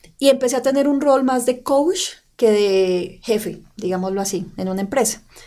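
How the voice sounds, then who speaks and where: Lively intonation carries the speech along at a moderate pace. The tone is dark and mellow. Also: woman, fairly high pitch for a woman. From Colombia, Santander (Bucaramanga). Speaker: personal branding coach and podcast co-host. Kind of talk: casual podcast chat. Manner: clipped, forceful delivery.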